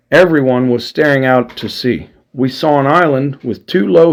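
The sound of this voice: Here is an unforced reading voice. It goes through the text from start to finish.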